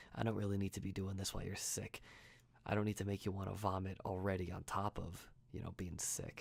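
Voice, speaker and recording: In a gentle tone, a man speaks at a fairly low pitch with monotone, flat intonation. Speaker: ASMR artist. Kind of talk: ASMR roleplay, friend caring for a sick person. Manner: soft, gentle, caring.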